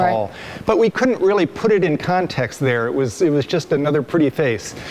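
Music plays in the background. Over it, a man speaks at a fairly quick pace. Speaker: museum scientist guide. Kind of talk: interview answer. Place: hall. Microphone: lapel.

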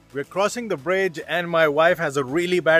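A man's voice sounds dry, with no echo. Faint music plays behind him. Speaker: travel vlogger. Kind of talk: casual vlog chat. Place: garden. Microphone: phone near.

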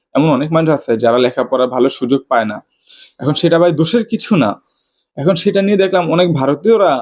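A man's fairly high voice with lively intonation and very even loudness. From Bangladesh. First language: regional Bangladeshi dialect (speaking Bengali). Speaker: YouTuber. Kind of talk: opinion monologue. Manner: animated.

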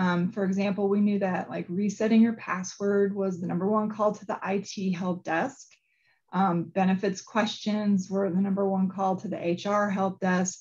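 The voice is somewhat breathy and monotone, with flat intonation, moving at a moderate pace over a quiet background. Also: woman. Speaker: knowledge program manager. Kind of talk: webinar presentation. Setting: video call. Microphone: video call.

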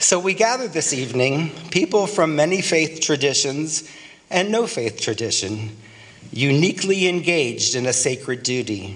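The voice moves at a moderate pace with very wide swings in pitch. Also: man, fairly high pitch for a man. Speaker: clergy leading a prayer. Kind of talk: invocation blessing at a dinner, fervent prayer. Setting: banquet dinner in Washington, D.C. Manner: solemn, rhythmic, earnest cadence with repeated phrases. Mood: solemn, hopeful. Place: hall. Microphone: podium.

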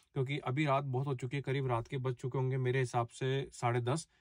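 The voice is somewhat breathy and moves at a moderate pace. The sound is dry with no echo, and the background is quiet. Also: man. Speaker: travel vlogger. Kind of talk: casual vlog chat. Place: car. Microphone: phone near.

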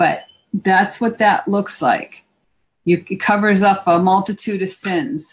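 Very slow and somewhat breathy, this voice shows ordinary pitch variation. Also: woman. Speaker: craft instructor. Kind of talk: tutorial. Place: home room. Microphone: video call.

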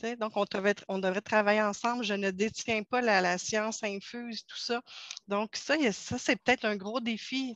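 The recording of this woman is dry with no echo and a quiet background, and her intonation is fairly even. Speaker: pedagogical advisor. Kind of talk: online group discussion. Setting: video call. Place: home room. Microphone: headset.

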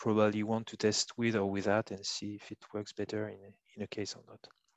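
Fairly low in pitch, a man speaks with a French accent in a monotone, flat intonation. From France. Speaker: bioinformatics trainer. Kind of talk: tutorial. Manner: halting, many fillers.

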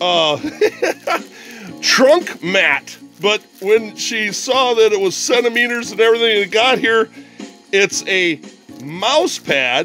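A man speaks at a high pitch, with faint music in the background. The sound is dry, with no echo. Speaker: unboxing vlogger. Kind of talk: casual vlog chat. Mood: cheerful, amused. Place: home room. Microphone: phone near.

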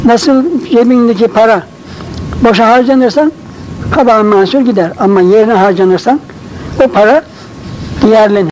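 A man's high-pitched voice at a moderate pace, with ordinary pitch variation, very even loudness, long, frequent pauses and noticeable background noise. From Isparta, Turkey. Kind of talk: religious reminiscence.

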